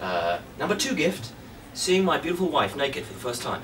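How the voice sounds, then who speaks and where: In an English accent, a high-pitched man speaks at a moderate pace with very wide pitch swings over noticeable background noise. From England. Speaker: stand-up comedian. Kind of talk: stand-up comedy set, crude self-deprecating bits about his marriage and body. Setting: stage with live audience. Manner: dry, mock-confessional delivery with stammered restarts; playful crowd-baiting asides. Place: stage.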